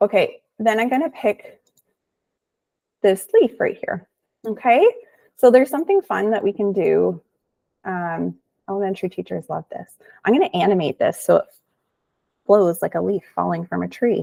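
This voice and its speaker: A woman talks at a moderate pace with long, frequent pauses, her sound dry and close with no echo. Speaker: teacher-trainer presenting a tech webinar. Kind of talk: tutorial. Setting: online webinar. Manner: casual.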